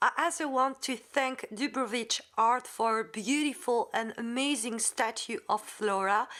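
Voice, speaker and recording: A woman with a French accent speaks in a high voice with a bright, sharp tone. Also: ordinary pitch variation, fairly slow pace, hardly any pauses, very clean recording, silent background. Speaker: Wiccan content creator. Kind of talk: casual outro appeal to viewers; tutorial. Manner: halting, many fillers.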